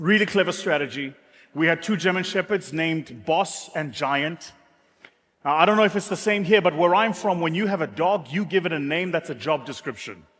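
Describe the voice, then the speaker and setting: A man with a South African accent, high in pitch, at a fairly quick pace with ordinary pitch variation. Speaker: business speaker. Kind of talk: motivational talk.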